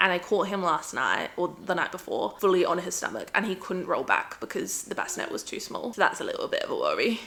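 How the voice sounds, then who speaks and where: A woman's fairly quick speech over noticeable background noise. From Adelaide, Australia. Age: 20s. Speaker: vlogger, new mother. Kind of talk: casual vlog talk to camera.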